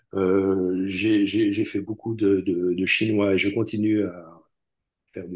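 The background is quiet as a man speaks at a fairly slow pace. His pitch is fairly low, with monotone, flat intonation. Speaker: translator. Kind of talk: interview. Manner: halting, frequent repetitions.

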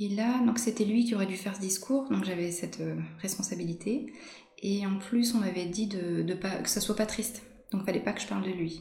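Soft-spoken woman with a gentle tone, medium pitch and fairly even intonation at a fairly quick pace, amid audible room echo and noticeable background noise. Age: 40s. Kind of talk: interview. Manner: gentle, soft-spoken.

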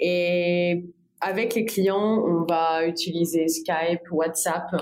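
Speech moves at a very slow pace. The intonation is fairly even. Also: woman. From France, Bordeaux. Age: 20s. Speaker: entrepreneur. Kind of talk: interview.

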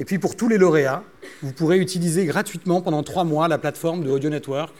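A man with a fairly high pitch and ordinary pitch variation talks at a fairly quick pace. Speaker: festival organizer. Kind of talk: stage speech. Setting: stage with audience. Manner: breathy.

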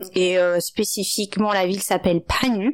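A woman at medium pitch, with ordinary pitch variation. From France. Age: 30s. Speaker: architect. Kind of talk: interview. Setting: at the guest's home.

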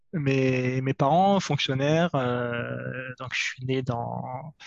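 Pitch for this man sits at a medium level with ordinary variation. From southern France. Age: 40s. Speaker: IT worker and climate volunteer. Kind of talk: casual interview. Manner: halting, many hesitations.

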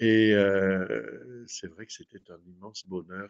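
Here a man speaks very slowly at a fairly low pitch. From southern France. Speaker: priest, shrine rector. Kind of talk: radio interview. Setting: at the shrine.

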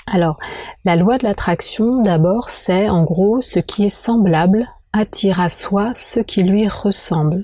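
The voice moves at a very slow pace with very even loudness, a somewhat breathy, dark, mellow tone and ordinary pitch variation. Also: woman, medium pitch for a woman. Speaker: podcast host, feng shui consultant. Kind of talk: monologue podcast, explanatory talk. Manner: hesitant with many fillers and repetitions.

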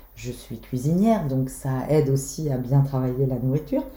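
Somewhat breathy and dark, mellow in tone, a woman with a very deep, low pitch speaks at a very slow pace. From Brittany, Belle-Île. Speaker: holiday rental owner. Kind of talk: interview.

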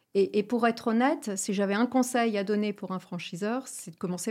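A woman with an unremarkable speaking voice talks at a moderate pace and medium pitch. Her intonation is fairly even, and the recording is very clean with a silent background. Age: 50s. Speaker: entrepreneur, franchise founder. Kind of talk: interview.

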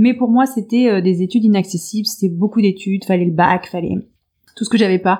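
A woman's dark, mellow tone moves at a fairly quick pace with ordinary pitch variation. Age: 30s. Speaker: nursing assistant retraining as fitness coach. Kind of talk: interview. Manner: halting.

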